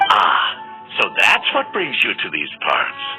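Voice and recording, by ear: Over faint music in the background, a man performs a put-on character voice at a fairly low pitch and fairly slow pace, with a bright, sharp tone and very wide pitch swings.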